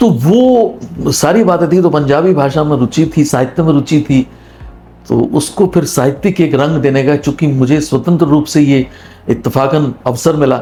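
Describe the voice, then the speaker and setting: Music plays behind a man with a Punjabi accent whose loudness stays very even and whose pitch varies in an ordinary way. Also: fairly high pitch for a man. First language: Punjabi (speaking Hindi). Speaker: retired radio broadcaster. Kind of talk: interview.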